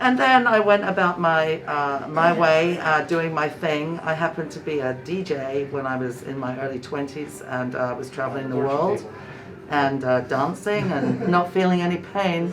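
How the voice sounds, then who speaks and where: A woman with a very deep, low pitch speaks at a moderate pace with lively intonation, with audible room echo and noticeable background noise. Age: 60s. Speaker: patient. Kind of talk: casual chat.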